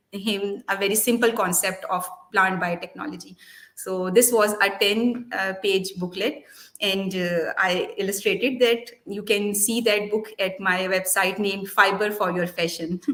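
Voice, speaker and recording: Speaking with a Pakistani accent, a woman talks at a fairly slow pace and medium pitch in a monotone, flat intonation. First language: Urdu. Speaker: molecular biologist and children's book author. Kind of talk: interview. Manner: halting, with many fillers.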